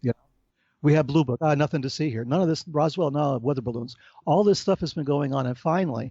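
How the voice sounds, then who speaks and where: A man talks at a very fast pace with a fairly high pitch. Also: ordinary pitch variation. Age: 60s. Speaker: author and researcher on UFO phenomena. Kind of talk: interview conversation. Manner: animated.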